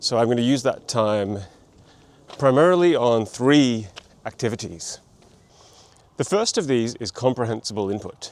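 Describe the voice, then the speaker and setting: A man with an Australian accent speaks at a moderate pace with ordinary pitch variation and long, frequent pauses. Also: medium pitch for a man. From Australia, Melbourne. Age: 40s. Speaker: language learning vlogger. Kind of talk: vlog monologue.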